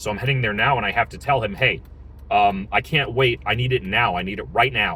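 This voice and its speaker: Using vocal fry, a man of medium pitch talks at a fairly quick pace. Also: ordinary pitch variation. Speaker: small business owner vlogger. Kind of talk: casual vlog update. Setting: in a car, driving. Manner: fast; hesitant, many fillers and repeats.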